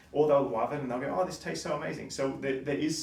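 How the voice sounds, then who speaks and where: A man speaks with an Australian accent in a medium-pitched voice. There is audible room echo. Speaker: coffee shop owner. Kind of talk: presentation talk. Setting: stage with audience. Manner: fast.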